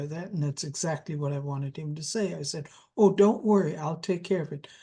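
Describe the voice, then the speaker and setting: In a German accent, a woman speaks with a dark, mellow, somewhat breathy tone and ordinary pitch variation against a quiet background. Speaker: interviewee sharing spiritual memories. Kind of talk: interview. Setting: video call.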